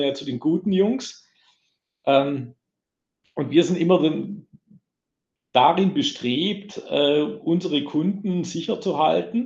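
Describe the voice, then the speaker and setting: The words come out at a very slow pace, carried by lively intonation. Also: man. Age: 50s. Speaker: IT security sales manager. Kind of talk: casual interview. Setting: large meeting room.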